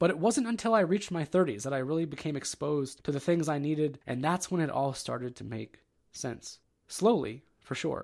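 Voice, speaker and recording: On a very clean recording with a silent background, a man with an American accent uses a normal speaking voice, fairly high in pitch, with lively intonation at a moderate pace. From Ohio. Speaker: podcast host. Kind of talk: solo monologue podcast. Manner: casual.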